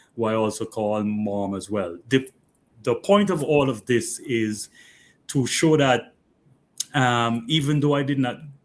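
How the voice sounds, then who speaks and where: A man talks in a medium-pitched voice. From St. Vincent and the Grenadines (Bequia and mainland). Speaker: interview guest. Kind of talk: radio interview. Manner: halting.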